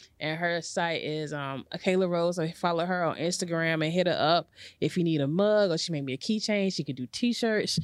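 A woman's fairly low, ordinary speaking voice with an American accent, at a moderate pace with hardly any pauses and ordinary pitch variation, in a very clean recording with a silent background. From North Carolina, Garner. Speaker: podcast host. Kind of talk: casual chat.

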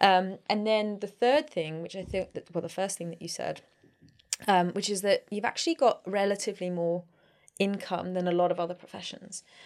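Here is a plain, everyday voice, going at a fairly quick pace with ordinary pitch variation. The recording is very clean and the background silent. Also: woman. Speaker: podcast host. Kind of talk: casual interview.

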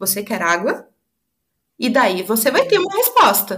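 A woman with a high pitch speaks at a fairly slow pace. Music can be heard in the background. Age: 30s. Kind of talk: testimony.

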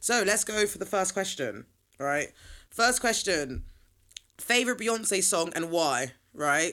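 With an English accent, the voice has a bright, sharp tone and an animated delivery, swinging very widely in pitch at a fairly slow pace broken by long, frequent pauses. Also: woman, medium pitch for a woman. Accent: British (England). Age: 20s. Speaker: podcast host. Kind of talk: solo casual chat.

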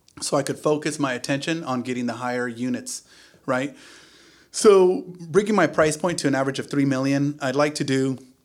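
A man speaks in a plain, everyday voice, fairly high in pitch with ordinary pitch variation. The recording is very clean, with a silent background. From US, Silicon Valley area of California (born in Mexico, moved at age 3). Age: 40s. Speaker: luxury real estate agent. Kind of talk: casual interview.

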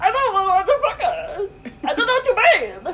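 A put-on character voice at an extremely high pitch moves along at a fairly quick pace.

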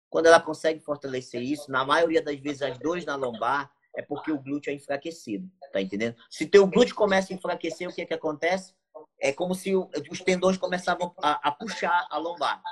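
The speaker uses a northern Brazilian accent, a fairly quick pace and ordinary pitch variation. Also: man, fairly high pitch for a man. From Brazil, Amapá (Santana). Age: 30s. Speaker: bodybuilder and coach. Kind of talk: casual chat.

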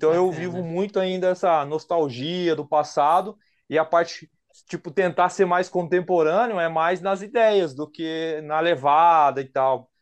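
A man with a high voice speaks at a fairly slow pace, his intonation fairly even, over a quiet background. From São José dos Campos, Brazil. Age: 40s. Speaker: rapper and music producer. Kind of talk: casual interview chat.

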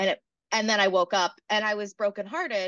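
The pace here is moderate. A woman speaks in an American accent. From South Carolina. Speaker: stand-up comedian. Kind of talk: casual interview chat.

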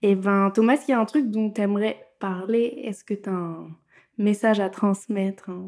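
In a very clean recording with a silent background, a woman with an unremarkable speaking voice talks at a moderate pace, her medium pitch carrying fairly even intonation. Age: 20s. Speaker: podcast host. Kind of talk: casual interview chat. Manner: laughs often.

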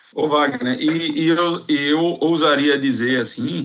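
A man with lively intonation. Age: 30s. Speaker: construction operations manager. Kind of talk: casual chat. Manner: halting.

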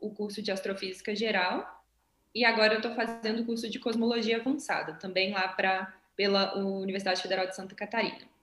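She has a plain, everyday voice at a medium pitch and moderate pace. This woman keeps her intonation fairly even. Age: 20s. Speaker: English teacher and violinist, astronaut candidate. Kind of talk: interview.

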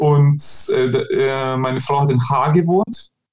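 Somewhat breathy, the man's voice rests at a medium pitch. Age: 30s. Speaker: shop owner. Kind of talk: interview.

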